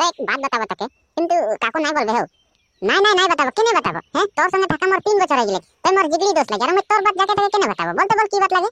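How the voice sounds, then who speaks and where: In a cartoonish character voice, a woman speaks at an extremely high pitch and a very fast pace. Her pitch swings very widely. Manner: shy, hesitant.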